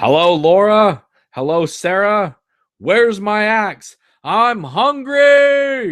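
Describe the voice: Raising and projecting a put-on character voice, a man speaks at a high pitch and a very slow pace.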